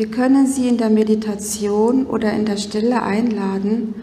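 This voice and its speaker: A woman's fairly high, fairly evenly intoned voice at a very slow pace, with audible room echo and noticeable background noise. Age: 50s. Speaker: spiritual speaker. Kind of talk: conference talk. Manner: formal.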